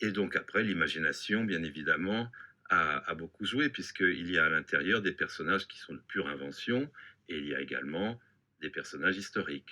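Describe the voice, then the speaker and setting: With a very deep, low pitch, a man speaks at a moderate pace in a bright, sharp tone, his intonation lively and his loudness swinging widely. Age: 60s. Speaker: novelist. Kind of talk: interview. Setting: studio.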